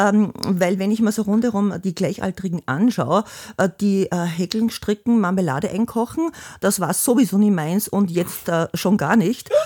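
A woman's dark, mellow voice at medium pitch, fairly slow, with ordinary pitch variation, in a very clean recording over a silent background. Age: 60s. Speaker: host's mother, retiree. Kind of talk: casual interview. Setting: family home.

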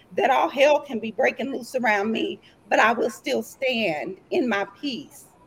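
Speech in an American accent at a moderate pace, with ordinary pitch variation and noticeable background noise. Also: woman. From East Texas. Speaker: entrepreneur guest. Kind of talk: casual chat. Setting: video call.

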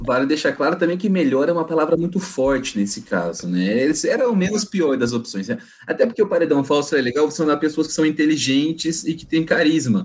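A man with an unremarkable speaking voice talks at a fairly quick pace, his pitch fairly high and his intonation lively. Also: hardly any pauses. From Brazilian countryside (interior). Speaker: podcast guest. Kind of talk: casual chat.

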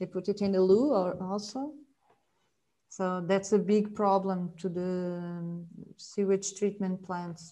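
Music sits in the background as a woman speaks at a very slow pace with a Portuguese accent. Her pitch is medium and her intonation fairly even. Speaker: marine biologist and author. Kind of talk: casual interview chat. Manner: halting with repetitions.

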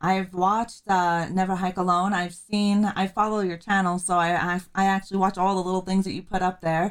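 Mumbling at a moderate pace with hardly any pauses, a woman speaks at medium pitch in a monotone, flat intonation. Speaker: podcast host. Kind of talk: interview. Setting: video call.

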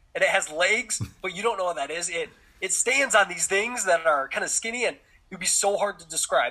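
Against noticeable background noise, a man with an American accent speaks at a high pitch. His pace is moderate and his pitch variation ordinary. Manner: casual, relaxed, lots of filler words.

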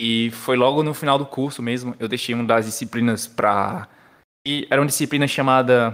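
Fairly even intonation, a moderate pace, and a very clean recording with a silent background. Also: man. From Brazil, Paraíba (João Pessoa). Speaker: software developer with a master's in computer science. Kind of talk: casual podcast interview, technical explanations.

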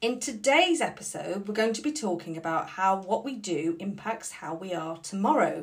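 A normal speaking voice from a woman, moderate in pace and medium in pitch. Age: middle-aged. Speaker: podcast co-host and Pilates client. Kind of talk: casual chat.

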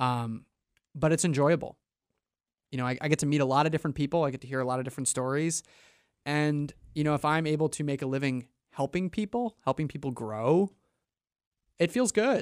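In a very clean recording with a silent background and a dry, close sound with no echo, a man with an American accent speaks at a fairly quick pace in a fairly high pitch, with ordinary pitch variation and long, frequent pauses. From New York. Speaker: private lending consultant. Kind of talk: radio interview. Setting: studio.

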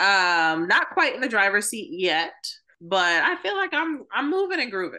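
Over a quiet background, a woman with a New York accent speaks at a moderate pace in a bright, sharp tone, her fairly high pitch making very wide swings. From New York City. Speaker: podcast co-host. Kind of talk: casual chat.

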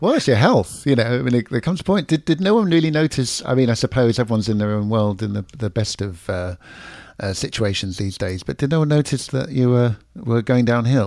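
Lively in intonation, a man with a London accent talks at a medium pitch and a fairly quick pace. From London, England. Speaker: podcast host. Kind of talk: casual interview. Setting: video call, remote guest.

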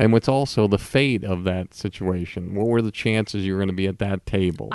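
A man with an unremarkable speaking voice talks at a fairly quick pace with a fairly low pitch and ordinary pitch variation. The sound is dry and close, with no echo. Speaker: podcast host, interviewer.

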